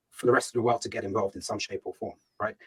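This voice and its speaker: A man speaks with a British accent in a dry, close sound with no echo. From England, UK (Ghanaian heritage). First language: Ga. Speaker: startup founder and CEO. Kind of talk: fireside chat interview. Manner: hesitant, many fillers and repetitions.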